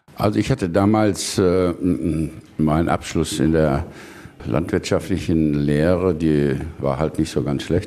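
A man with a very deep, low voice speaks at a very slow pace with long, frequent pauses. His loudness stays very even, his pitch shows ordinary variation, and noticeable background noise can be heard. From Lower Rhine, western Germany (Neukirchen-Vluyn). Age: 70s. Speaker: politician and farmer. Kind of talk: radio interview. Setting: on his farm. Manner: hesitant, many fillers.

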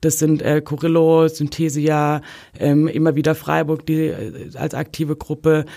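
On a very clean recording with a silent background, a woman speaks fairly slowly in a very deep, low pitch. Her dark, mellow tone stays in monotone, flat intonation. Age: 30s. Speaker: social scientist and football fan activist. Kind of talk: interview. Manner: hesitant, many filler sounds.

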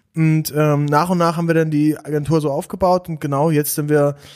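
A man speaks at a moderate pace and a fairly high pitch. The recording is very clean, with a silent background. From eastern Germany, Saxony-Anhalt near Dessau. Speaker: content creator and agency founder. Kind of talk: podcast interview.

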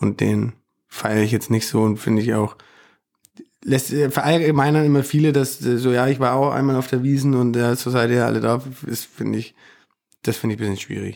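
At a moderate pace, the voice carries vocal fry and a slightly mellow tone with fairly even intonation, recorded very cleanly against a silent background. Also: man, medium pitch for a man.

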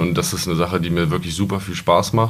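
Talking at a very fast pace, a man with a very deep, low voice keeps his intonation fairly even amid noticeable background noise and audible room echo. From Lower Saxony, Germany (Peine). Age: 20s. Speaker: wholesale trade apprentice. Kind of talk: podcast interview.

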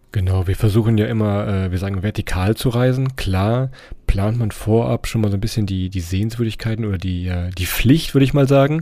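Over noticeable background noise, a man with a fairly low pitch speaks at a fairly quick pace with ordinary pitch variation. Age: 30s. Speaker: travel podcaster. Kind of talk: casual interview.

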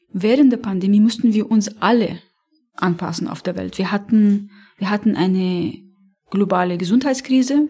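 A woman at medium pitch with ordinary pitch variation and a moderate pace, an ordinary speaking voice. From Lebanon, Beirut. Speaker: animal welfare campaigner. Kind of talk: interview.

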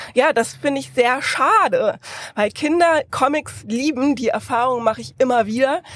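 Her pitch high and its variation ordinary, a woman talks at a moderate pace with big swings in loudness. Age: 30s. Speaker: comic author and illustrator. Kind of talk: interview. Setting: podcast bus at book fair.

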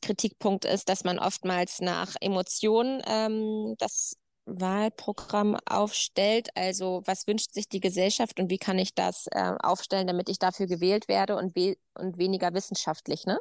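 In a dry, close recording with no echo and a quiet background, a woman has an unremarkable speaking voice, medium in pitch and fairly even in intonation, at a fairly slow pace. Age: 30s. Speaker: farmer. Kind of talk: casual chat.

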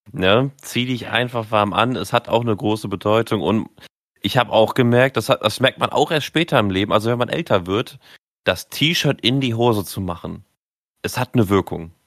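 This is an ordinary speaking voice from a man at medium pitch with ordinary pitch variation. He talks at a moderate pace on a very clean recording with a silent background. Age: 20s. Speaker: podcast co-host. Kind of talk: casual chat.

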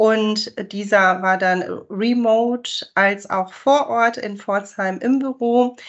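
A woman speaks at a very slow pace. Her voice is fairly high-pitched, with fairly even intonation. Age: 40s. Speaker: sales manager. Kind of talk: interview.

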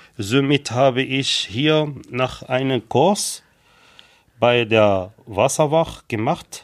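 Pacing very slowly, a man speaks at a medium pitch with ordinary pitch variation. The recording is very clean, with a silent background. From Morocco. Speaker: lifeguard and trained baker. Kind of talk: interview. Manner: halting.

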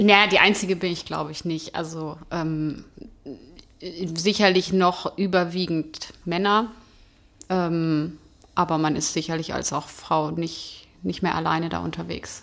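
At a fairly slow pace, a woman with an ordinary speaking voice talks in a fairly low pitch with fairly even intonation. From Hanover, Germany. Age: 40s. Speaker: football fan. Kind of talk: casual chat. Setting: stadium.

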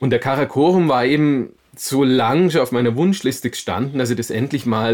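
The recording is very clean with a silent background. A man with an unremarkable speaking voice talks at a moderate pace and medium pitch. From Bavaria, Augsburg. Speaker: mountain biker and adventurer. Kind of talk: interview.

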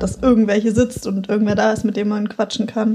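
A woman talks at a very fast pace. Her medium-pitched voice stays in a flat monotone. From Hannover, northern Germany. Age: 20s. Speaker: design student, flatmate. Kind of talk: casual chat. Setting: living room of a shared flat.

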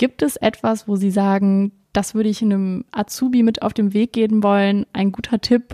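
Dry, close woman's voice with no echo, a dark, mellow tone, medium pitch, fairly even intonation and a moderate pace. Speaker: trainee podcast host. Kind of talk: interview.

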